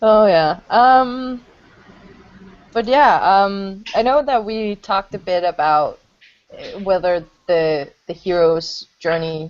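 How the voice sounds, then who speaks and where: With a Danish accent, a woman speaks very slowly in a medium pitch with lively intonation. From Denmark. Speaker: hangout moderator. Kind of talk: casual group discussion. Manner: halting.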